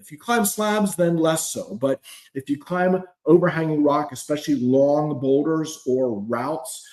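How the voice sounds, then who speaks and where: A man speaks in a normal speaking voice, fairly high in pitch, at a fairly slow pace. His intonation is lively and his loudness swings widely. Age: 60s. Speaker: climbing coach. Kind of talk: live stream talk. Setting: live video stream.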